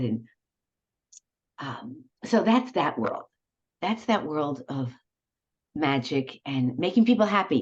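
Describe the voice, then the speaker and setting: A woman with a New York accent speaks in an animated tone, her pitch swinging very widely. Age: 70s. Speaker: retired professor and cabaret singer. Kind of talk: casual interview chat.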